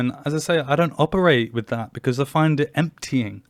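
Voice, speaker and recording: In a very clean recording with a silent background, a man speaks fairly quickly, his fairly high pitch showing ordinary variation. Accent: English. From England. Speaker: podcast host. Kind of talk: personal monologue podcast. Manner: animated.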